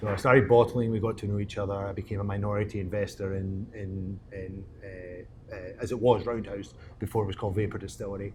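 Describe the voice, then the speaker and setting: A man with a Scottish accent talks at a fairly quick pace with hardly any pauses, in a fairly low, somewhat breathy voice with monotone, flat intonation. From Scotland, Glasgow. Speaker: distillery co-owner. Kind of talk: casual interview. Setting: distillery.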